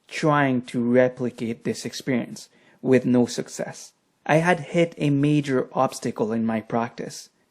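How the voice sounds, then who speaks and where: The speaker has a French accent and talks at a very slow pace. The recording is very clean, with a silent background. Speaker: meditation teacher and author. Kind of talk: lecture.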